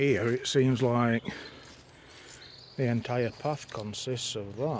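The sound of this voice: A man speaks slowly. His pitch is medium with ordinary variation.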